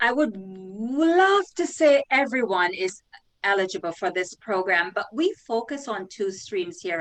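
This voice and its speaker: The voice carries a Jamaican accent, with very wide pitch swings. The pace is fairly slow. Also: woman. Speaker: career coach and recruiter. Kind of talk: interview.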